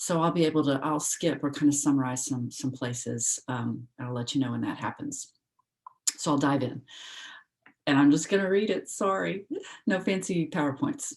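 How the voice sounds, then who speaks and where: A soft-spoken woman with an American accent, very deep and low in pitch, at a moderate pace with lively intonation. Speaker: philosopher presenting a paper. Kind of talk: academic paper reading. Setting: video call.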